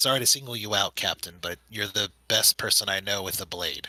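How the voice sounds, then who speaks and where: A man does a put-on character voice with fairly low pitch and fairly even intonation, speaking fairly quickly in a dry, close sound with no echo. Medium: actual play. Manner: hesitant, stammering.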